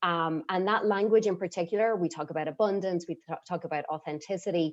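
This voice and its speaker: Speaking in an Irish accent, a woman uses ordinary pitch variation. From Ireland. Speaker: program member sharing testimony. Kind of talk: testimony.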